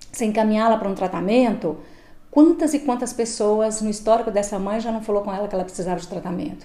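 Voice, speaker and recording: Audible room echo surrounds a woman speaking at a fairly quick pace and fairly high pitch, with a dark, mellow tone and ordinary pitch variation. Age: 50s. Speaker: shelter supervisor. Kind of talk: interview.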